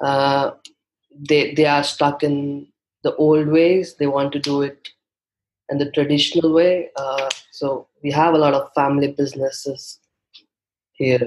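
Speaking with an Indian accent, a man delivers flat, monotone lines at a fairly slow pace with long, frequent pauses. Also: fairly high pitch for a man. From India, Mumbai. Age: 20s. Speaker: guest, young freelancer. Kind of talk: casual interview chat.

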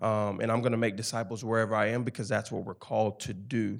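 Speaking fairly quickly in a flat, monotone way, a man of medium pitch with a Memphis accent is heard on a very clean recording with a silent background. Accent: Southern US (Memphis). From Memphis, Tennessee. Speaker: campus ministry staff, former football player. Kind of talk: interview testimony on church stage.

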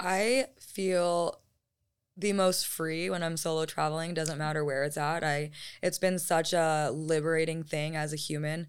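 With an American accent and an ordinary speaking voice, a woman speaks fairly slowly at a fairly low pitch with fairly even intonation, on a very clean recording with a silent background. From Arizona. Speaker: travel blogger and content creator. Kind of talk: casual chat.

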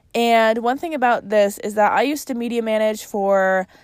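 With a Chicago accent and an upbeat tone, a woman talks using ordinary pitch variation in a very clean recording with a silent background. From Chicago, US Midwest. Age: 20s. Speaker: podcast host. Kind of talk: casual solo podcast chat. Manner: casual, upbeat, chatty.

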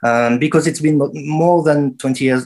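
Ordinary pitch variation and a fairly slow pace from a man. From France. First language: French. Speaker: dub musician and producer. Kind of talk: interview. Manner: halting.

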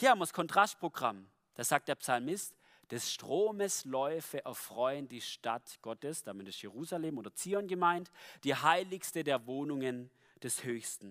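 On a very clean recording with a silent background, a man with an unremarkable speaking voice talks at a fairly slow pace in a fairly high pitch, with lively intonation and big swings in loudness. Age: 20s. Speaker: lay preacher. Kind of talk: sermon.

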